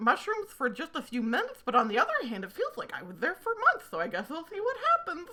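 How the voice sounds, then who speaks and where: Using a put-on character voice, a woman talks at a very fast pace and high pitch, with very wide pitch swings. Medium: actual play. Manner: rambling, spacey.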